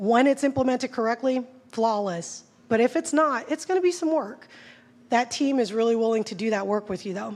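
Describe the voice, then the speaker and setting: A woman's fairly high voice with lively intonation at a fairly quick pace. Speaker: conference speaker on technical SEO. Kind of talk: conference talk. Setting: stage with audience. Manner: fast; animated.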